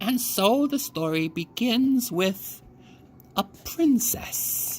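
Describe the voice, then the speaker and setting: A put-on character voice, fairly high in pitch, moves at a very slow pace. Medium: read story. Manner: terse, grave.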